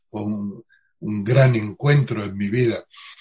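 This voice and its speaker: Speaking at a very slow pace, a man sounds somewhat breathy. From Andalusia, Spain (Utrera, Seville). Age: 60s. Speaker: Zen Buddhist teacher. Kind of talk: interview.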